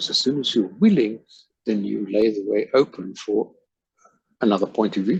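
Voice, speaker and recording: Here a man talks with a South African accent at a moderate pace. Long, frequent pauses break up his speech. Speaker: life coach. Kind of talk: casual chat.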